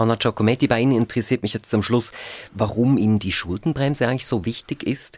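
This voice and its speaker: The recording is dry and close with no echo. A man with a medium pitch talks very fast, his pitch varying in an ordinary way. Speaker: radio news host. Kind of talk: radio political discussion.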